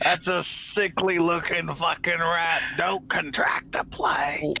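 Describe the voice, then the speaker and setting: A raspy, put-on character voice speaks at a fairly slow pace. Clear background noise can be heard. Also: man, high pitch for a man. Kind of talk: comic overacting. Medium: actual play. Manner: profane, contemptuous.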